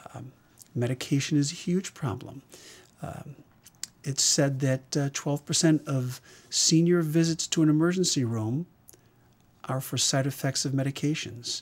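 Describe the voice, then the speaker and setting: With long, frequent pauses, a man speaks at a fairly slow pace in a fairly high pitch, somewhat breathy and with ordinary pitch variation. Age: 60s. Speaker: emergency physician. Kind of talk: interview.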